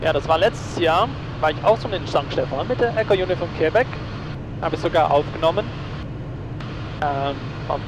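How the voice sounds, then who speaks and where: Noticeable background noise accompanies a man's fairly high voice with ordinary pitch variation. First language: Dutch (speaking German). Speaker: private pilot and vlogger. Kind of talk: casual cockpit vlog narration; aviation radio calls. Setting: small plane cockpit in flight. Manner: hesitant, many fillers.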